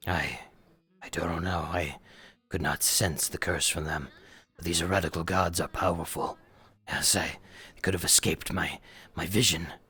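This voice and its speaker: A put-on character voice, very deep, low and raspy, moves at a moderate pace with long, frequent pauses. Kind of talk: doom-laden preaching. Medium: actual play. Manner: stammering, repeats words, fervent.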